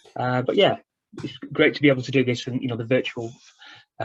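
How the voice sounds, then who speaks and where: A man's somewhat breathy, medium-pitched voice with a Lancashire accent and fairly even intonation. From northern England, Preston. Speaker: author and researcher. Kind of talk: interview over video call. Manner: hesitant.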